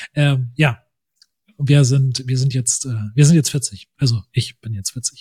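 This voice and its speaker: A man speaks at a very slow pace with long, frequent pauses, in a medium-pitched, dark, mellow tone that is somewhat breathy. Intonation is fairly even, and the sound is dry and close with no echo. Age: 40s. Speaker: podcast host, photographer. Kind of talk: casual chat.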